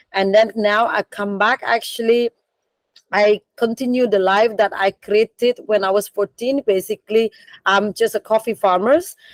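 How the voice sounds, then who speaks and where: Delivered at a moderate pace with fairly even intonation, the voice carries a Balinese accent in a dry, close sound with no echo. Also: woman. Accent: Indonesian (Balinese). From Bali, Indonesia. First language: Indonesian / Balinese. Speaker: coffee business founder. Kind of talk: career talk in online meeting. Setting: video call from storage room. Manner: halting, many fillers.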